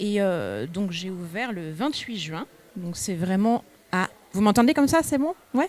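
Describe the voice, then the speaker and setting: At a fairly slow pace, a woman with an unremarkable speaking voice uses lively intonation at a medium pitch. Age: 30s. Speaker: shop owner, entrepreneur. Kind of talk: personal career talk to students. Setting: live event with audience, microphone.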